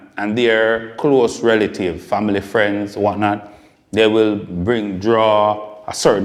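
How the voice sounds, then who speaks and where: Over noticeable background noise, a man with a Jamaican accent speaks very slowly at a fairly low pitch in a monotone, flat delivery. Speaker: podcast host. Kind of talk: interview.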